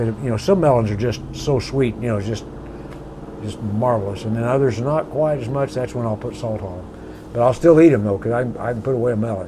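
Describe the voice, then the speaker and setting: Noticeable background noise runs behind a man who talks at a fairly quick pace with ordinary pitch variation. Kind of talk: casual chat.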